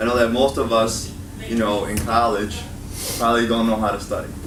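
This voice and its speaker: A man's fairly low-pitched voice with a Chicago accent at a very fast pace, amid noticeable background noise and audible room echo. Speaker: college instructor and education video creator. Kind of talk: student workshop talk. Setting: meeting room with student audience. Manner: casual, filler-heavy.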